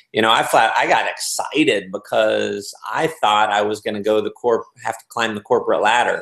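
Speech at a moderate pace carries audible room echo against a quiet background. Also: man. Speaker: interview guest. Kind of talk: interview answer. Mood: upbeat, laughing storyteller. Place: home room. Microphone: video call.

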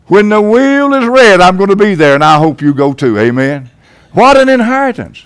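A man's high voice with very wide pitch swings, at a moderate pace, against a quiet background. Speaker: pastor giving a sermon. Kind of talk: church sermon. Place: church.

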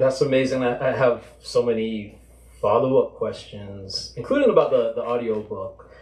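With audible room echo, a man talks at a moderate pace. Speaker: fiction writer; event moderator. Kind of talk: interviewing the author. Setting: stage with audience. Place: shop.

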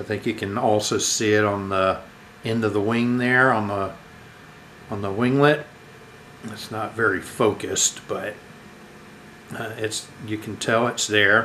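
A man's fairly slow, fairly low-pitched speech with fairly even intonation and long, frequent pauses, over light background noise. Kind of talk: casual unboxing commentary. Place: home room. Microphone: camera far.

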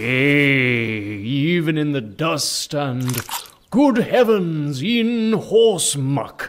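Very slowly, a man with a fairly high pitch speaks in very wide pitch swings. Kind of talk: mock-biblical preaching. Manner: unctuous, sanctimonious.

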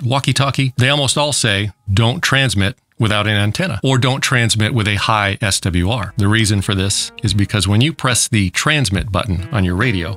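Fairly low male voice, dry with no echo, over faint music in the background. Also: ordinary pitch variation, moderate pace. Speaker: radio channel host. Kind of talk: explainer commentary. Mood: wry, myth-busting. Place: studio. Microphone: studio mic.

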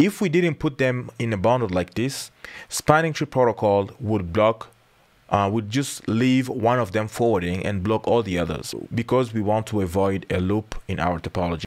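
The man's pitch sits fairly low, and his pace stays moderate. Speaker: IT instructor. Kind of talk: tutorial.

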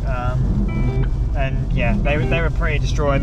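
With loud music in the background, a man speaks in a dry recording with no echo. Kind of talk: casual vlog chat. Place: car. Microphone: camera far.

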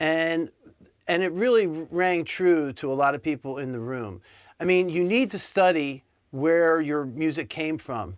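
At a fairly slow pace, a man speaks with lively intonation over a quiet background. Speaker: music show host. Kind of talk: interview. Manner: halting. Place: studio. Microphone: lapel.

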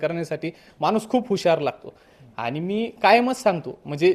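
A man's voice with ordinary pitch variation. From Pune district, Maharashtra. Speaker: judge. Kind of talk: interview.

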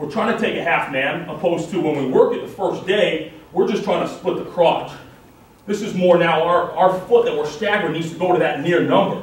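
A man with an American accent, fairly high in pitch and fairly quick in pace, in a room with an audible echo. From Massachusetts. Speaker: college football coach. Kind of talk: coaching clinic lecture. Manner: fast. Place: meeting room. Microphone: camera far.

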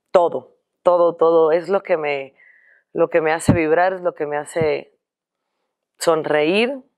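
A woman speaks very slowly at a fairly low pitch, leaving long, frequent pauses. Her pitch varies in an ordinary way against a quiet background. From Cuba. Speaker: singer; guest. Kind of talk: interview. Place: studio.

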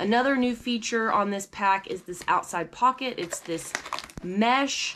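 A woman speaks fairly slowly amid noticeable background noise, her pitch varying in an ordinary way. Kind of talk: gear tutorial. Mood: upbeat, excited. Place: home room.

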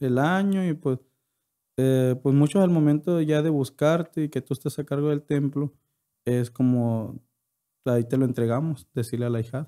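Here a man speaks in a dark, mellow tone at a moderate pace with ordinary pitch variation. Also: quiet background. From Yoreme Mayo community, northwestern Mexico; northwestern Mexico. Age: 20s. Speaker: podcast guest. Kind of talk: interview; interview answer. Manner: halting. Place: studio. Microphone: studio mic.

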